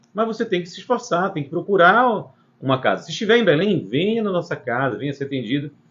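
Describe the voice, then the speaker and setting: A man talks at a fairly quick pace. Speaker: spiritist center host answering questions. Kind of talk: live Q&A.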